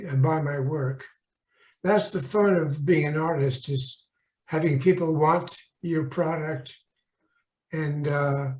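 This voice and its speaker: Fairly even in intonation and somewhat breathy, a man talks at a fairly slow pace with a fairly high pitch. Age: 90s. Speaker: animation layout artist. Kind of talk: interview. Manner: halting, many fillers.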